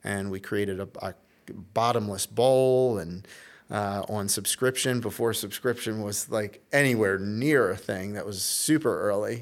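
Fairly slow speech from a man, fairly low in pitch with ordinary pitch variation, on a very clean recording with a silent background. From Baltimore, Maryland. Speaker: tech startup CEO. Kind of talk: interview. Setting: conference. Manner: halting, many fillers.

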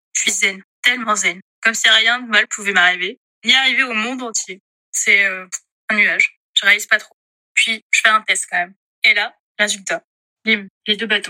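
Speaking at a moderate pace, a woman with a fairly high pitch keeps her intonation fairly even but makes big swings in loudness. She takes long, frequent pauses, and the sound is dry and close with no echo. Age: 30s. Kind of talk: testimony.

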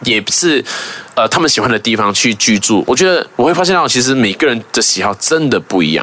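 Amid noticeable background noise, a man speaks at a fairly quick pace with very even loudness and very wide pitch swings. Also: medium pitch for a man. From Malaysia. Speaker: YouTuber. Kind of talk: casual interview.

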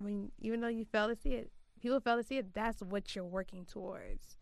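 A woman's fairly high voice, a normal speaking voice, at a fairly quick pace with ordinary pitch variation. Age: 20s. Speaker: podcast host. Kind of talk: casual chat.

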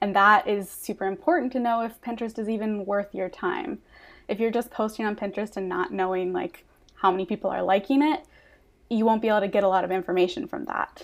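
The speaker is a woman going at a very fast pace. Her voice rises and falls with ordinary pitch variation. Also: medium pitch for a woman. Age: 20s. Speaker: Pinterest marketing consultant. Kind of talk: podcast interview.

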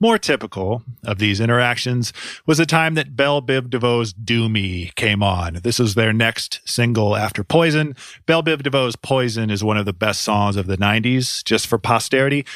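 A man speaks in a normal speaking voice at medium pitch. His pace is moderate. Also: ordinary pitch variation. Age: 40s. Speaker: music podcast host. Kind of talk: scripted narration.

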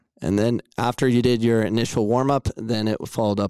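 A dark, mellow voice with an American accent speaks in a monotone, flat intonation at a moderate pace. The recording is very clean with a silent background and a dry, close sound with no echo. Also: man. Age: 40s. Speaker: podcast host. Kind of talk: interview. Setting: live show.

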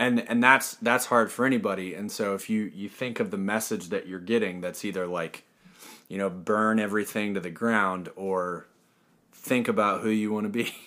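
A man's bright, sharp voice, fairly low in pitch, with fairly even intonation and an American accent. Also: moderate pace. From US, military family (born Fort Bragg, North Carolina). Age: 30s. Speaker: metal band bassist. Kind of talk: casual interview.

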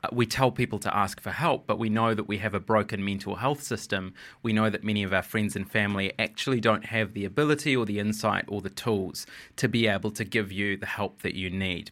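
A man with a New Zealand accent and a fairly low pitch talks at a fairly quick pace with fairly even intonation, in a very clean recording with a silent background. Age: 30s. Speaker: writer and TV journalist. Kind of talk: interview conversation.

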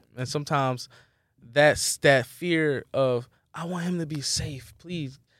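This man has a normal speaking voice, fairly high in pitch, with an American accent and fairly even intonation. He talks at a fairly slow pace on a very clean recording with a silent background. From Philadelphia, US. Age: 30s. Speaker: musical artist. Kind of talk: casual interview chat.

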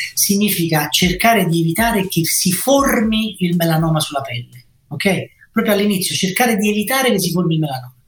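Through noticeable background noise, a high-pitched man talks at a moderate pace with lively intonation. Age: 50s. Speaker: dermatology professor. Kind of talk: interview testimony. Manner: hesitant, with fillers.

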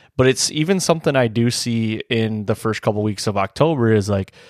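On a very clean recording with a silent background and a dry, close sound with no echo, a man with an unremarkable speaking voice talks at medium pitch and a moderate pace. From Michigan, US. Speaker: hunting podcast host and deer hunter. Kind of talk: casual chat.

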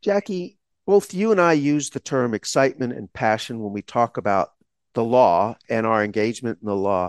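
With an American accent, a man speaks at a moderate pace and a medium pitch, with very wide pitch swings. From Texas, small town. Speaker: law school dean, podcast co-host. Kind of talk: casual chat.

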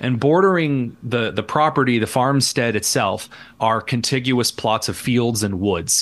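A man speaks at a fairly slow pace in a Midwestern American accent. His pitch is medium, with ordinary variation. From Indiana, rural. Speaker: radio host and columnist. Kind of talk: casual interview chat. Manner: halting, many fillers.

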